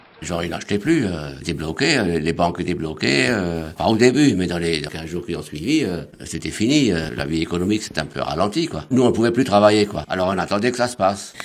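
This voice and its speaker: With lively intonation, a man's very deep, low voice moves at a moderate pace over noticeable background noise. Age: 70s. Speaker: retiree. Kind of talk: interview testimony.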